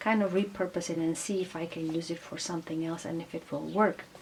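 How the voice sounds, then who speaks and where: A woman speaks with a non-native accent at a fairly low pitch. Noticeable background noise runs under her voice. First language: not English. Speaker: craft tutorial host. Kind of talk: tutorial. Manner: halting, many fillers.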